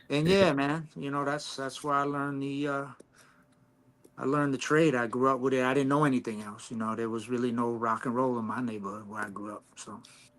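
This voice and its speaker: An ordinary speaking voice: a man with an American accent, medium pitch, ordinary pitch variation and a fairly quick pace. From Long Island, New York. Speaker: hip hop artist. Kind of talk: casual chat.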